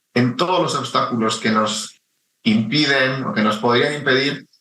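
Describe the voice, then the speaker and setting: A man is speaking. He has a Spanish accent. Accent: Spanish (Spain). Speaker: chief data officer. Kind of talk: radio interview.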